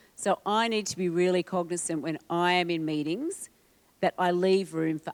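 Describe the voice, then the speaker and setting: A woman speaks with an ordinary speaking voice, fairly low in pitch, at a moderate pace. The recording is very clean, with a silent background. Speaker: communication and brand strategy speaker. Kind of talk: presentation to audience.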